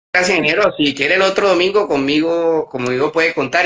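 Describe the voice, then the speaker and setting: At a very fast pace, a man with a fairly high pitch speaks in a bright, sharp tone. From Colombian Caribbean coast, Magdalena. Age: 40s. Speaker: artisan crafts business manager and cultural researcher. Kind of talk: podcast interview.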